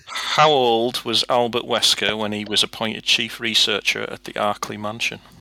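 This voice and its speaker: A man speaks with a northern English accent at a moderate pace, his voice medium in pitch. His intonation is flat and monotone. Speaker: podcast quizmaster. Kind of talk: casual chat, quiz reading.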